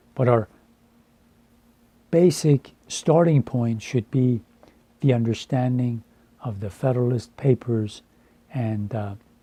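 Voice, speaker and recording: Very slowly and with long, frequent pauses, a man speaks at medium pitch in a dark, mellow, somewhat breathy tone, with ordinary pitch variation and a dry, close sound with no echo. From Iran. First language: Farsi. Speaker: translator and educator. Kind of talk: personal monologue. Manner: halting.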